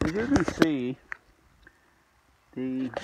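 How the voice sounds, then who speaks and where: The speech moves at a very slow pace, dry with no echo, under loud background noise. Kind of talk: casual vlog chat. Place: forest. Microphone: phone near.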